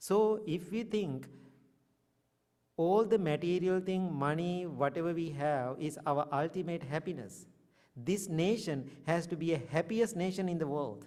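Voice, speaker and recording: A man with a Sri Lankan accent speaks in a dark, mellow tone at a high pitch, with ordinary pitch variation. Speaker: Buddhist monk. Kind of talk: dharma talk.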